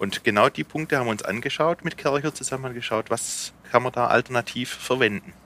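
With a slight Swabian accent, a man talks at a fairly quick pace in a bright, sharp tone with lively intonation, the sound dry and close with no echo. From Swabia, Remstal (southwest Germany). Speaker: company managing director. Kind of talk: explanatory on-site interview.

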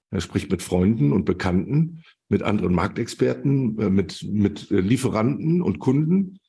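Somewhat breathy and dark, mellow in tone, a man speaks at a fairly slow pace, his fairly low voice making very wide pitch swings. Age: 50s. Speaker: logistics expert and network founder. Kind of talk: interview.

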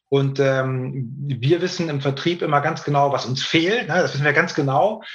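A man's somewhat breathy voice comes through at a fairly high pitch with ordinary pitch variation. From northern Germany, Hamburg. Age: 40s. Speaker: hearing aid company sales director. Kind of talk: interview.

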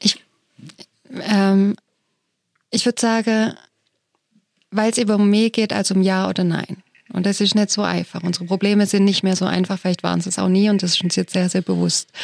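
On a very clean recording with a silent background, a woman speaks at a medium pitch and moderate pace in a monotone, flat way, with long, frequent pauses. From Germany. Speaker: theologian and foundation director. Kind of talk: panel discussion.

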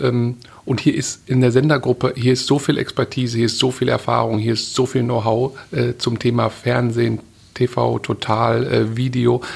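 Speaking at a moderate pace, a man with a medium-pitched voice shows vocal fry. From Ruhr area, Germany (Witten). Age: 40s. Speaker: media executive. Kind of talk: interview.

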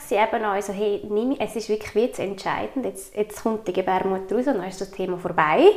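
A woman keeps a moderate pace as noticeable background noise carries on. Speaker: podcast host. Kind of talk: interview.

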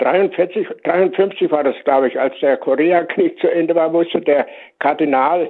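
This is a man's voice. His pitch is high. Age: 90s. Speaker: retired airport chaplain and priest. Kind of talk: interview.

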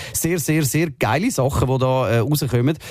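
A man speaks in a plain, everyday voice. His medium pitch has ordinary variation. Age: 30s. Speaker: radio host. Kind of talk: casual chat. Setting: radio studio.

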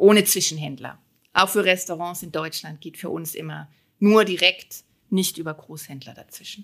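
In a plain, everyday voice, a woman speaks at a fairly low pitch and a moderate pace, her intonation fairly even. Her loudness swings widely on a very clean recording with a silent background. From Germany, Moselle region. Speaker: winemaker and finance professional. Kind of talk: podcast interview.

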